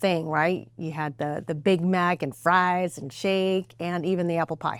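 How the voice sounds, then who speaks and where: A woman's fairly low voice at a fairly slow pace, with fairly even intonation, in a very clean recording over a silent background. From Mexico, then Sparks and Reno, Nevada from age nine. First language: Spanish. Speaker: political candidate, lawyer. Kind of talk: interview.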